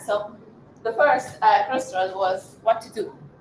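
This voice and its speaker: Noticeable background noise surrounds a woman's voice. She speaks at a medium pitch and a moderate pace. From Hungary, Budapest. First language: Hungarian. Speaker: marketing professional, invited speaker. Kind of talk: personal talk at live event. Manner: halting, many fillers.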